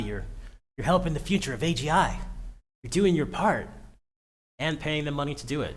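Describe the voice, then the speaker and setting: A man speaks at a fairly quick pace in an animated tone. Audible room echo surrounds his voice. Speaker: tech streamer. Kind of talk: casual livestream rant. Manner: fast.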